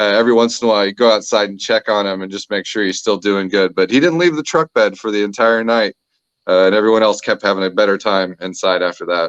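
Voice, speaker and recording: Recorded dry and close with no echo, a man with a fairly low pitch speaks at a very fast pace with ordinary pitch variation. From Texas. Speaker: comedian. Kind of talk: storytelling interview answer.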